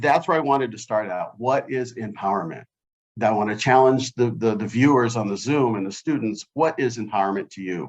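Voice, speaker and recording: A man with an ordinary speaking voice, medium in pitch, at a fairly quick pace. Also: ordinary pitch variation. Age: 60s. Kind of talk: panel discussion. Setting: video call.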